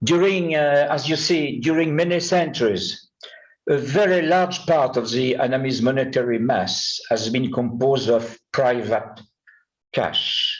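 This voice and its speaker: With a French accent, a man speaks fairly slowly in very even loudness and ordinary pitch variation, with audible room echo. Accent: French accent, self-described poor English. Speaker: numismatist, conference speaker. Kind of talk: conference talk. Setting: conference with audience. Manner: halting, many hesitations.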